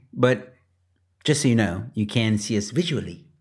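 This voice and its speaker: On a very clean recording with a silent background, a man with an American accent and an ordinary speaking voice talks at a moderate pace and medium pitch. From Texas, US. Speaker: podcast co-host. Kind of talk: casual banter chat. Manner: laid-back, laughing.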